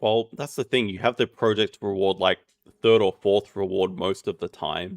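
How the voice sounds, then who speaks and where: A man with an Australian accent speaks at a fairly low pitch with ordinary pitch variation. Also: moderate pace. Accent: lazy Australian. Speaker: game caster. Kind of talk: live commentary.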